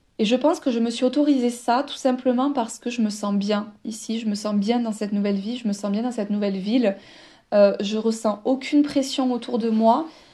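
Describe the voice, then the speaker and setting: A woman's fairly high voice with a dark, mellow tone, fairly even intonation and a fairly quick pace. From southern France, Toulouse. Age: 30s. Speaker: podcaster. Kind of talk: personal monologue, like a voice note. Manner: spontaneous, hesitant with many fillers.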